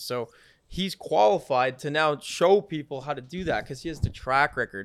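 A man with an ordinary speaking voice, fairly quick pace and ordinary pitch variation, on a very clean recording with a silent background. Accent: American. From upstate New York. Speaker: entrepreneur. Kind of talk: casual chat.

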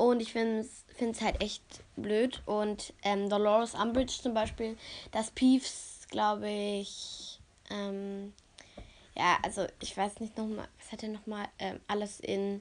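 This woman has a fairly high pitch. She speaks at a very slow pace with monotone, flat intonation. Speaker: podcaster. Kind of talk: casual monologue. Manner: hesitant with many fillers.

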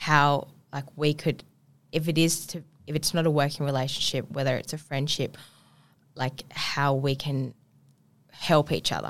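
A woman's very deep, low voice in an Australian accent, monotone and flat, at a moderate pace with long, frequent pauses. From Perth, Western Australia. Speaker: PR and media business owner. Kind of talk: casual chat. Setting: studio.

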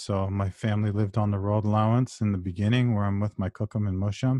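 A man with a Canadian accent talks at a fairly quick pace in a fairly low, monotone, flat voice, with a dry, close sound with no echo on a very clean recording with a silent background. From Ontario, Canada (Brampton). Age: 40s. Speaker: author and history scholar. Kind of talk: interview conversation.

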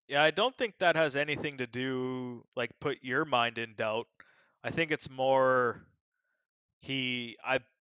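A man speaks at a medium pitch with fairly even intonation and a fairly slow pace. His tone is bright and sharp, and the sound is dry and close with no echo against a quiet background. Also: long, frequent pauses. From small-town rural area. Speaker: podcast guest. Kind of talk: casual chat.

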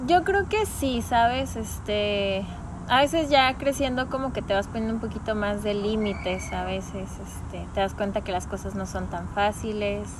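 With noticeable background noise and audible room echo, a woman speaks at a fairly slow pace. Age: 20s. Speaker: office worker. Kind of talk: casual interview.

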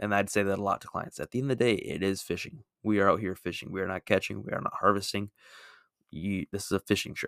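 A man with a fairly low pitch and an animated tone, at a very fast pace, in a dry, close sound with no echo. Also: very clean recording, silent background. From Minnesota. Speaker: podcast host, outdoorsman. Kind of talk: casual solo monologue recap.

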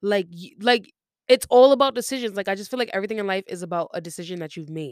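A woman talks at a very fast pace with lively intonation and big swings in loudness. The recording is very clean, with a silent background. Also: medium pitch for a woman. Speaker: podcast host. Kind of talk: casual monologue. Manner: rambling stream of consciousness.

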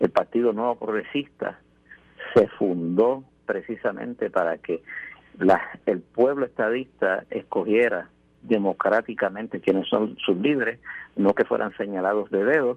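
In an ordinary speaking voice, a man talks at a fairly slow pace, medium in pitch with ordinary pitch variation, the sound dry and close with no echo. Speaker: mayoral candidate. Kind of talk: radio interview.

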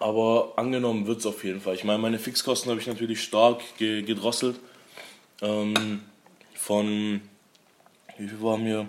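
A man's fairly low, monotone, flat voice at a moderate pace, with long, frequent pauses and noticeable background noise. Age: 20s. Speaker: young restaurant owner. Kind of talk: casual interview. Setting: in his restaurant, over a meal.

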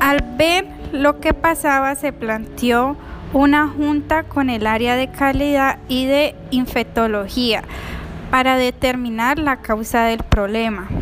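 The speech comes at a very slow pace with ordinary pitch variation over noticeable background noise. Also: woman, high pitch for a woman. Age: 20s. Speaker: nursing assistant. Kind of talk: prepared narration of a case.

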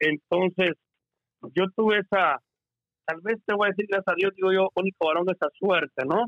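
The speech moves at a moderate pace with long, frequent pauses, fairly even intonation and very even loudness. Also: man, high pitch for a man. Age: 50s. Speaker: entertainer. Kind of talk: casual chat.

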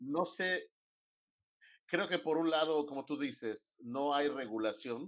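This man speaks at a very slow pace. His pitch variation is ordinary. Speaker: radio host. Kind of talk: radio talk show.

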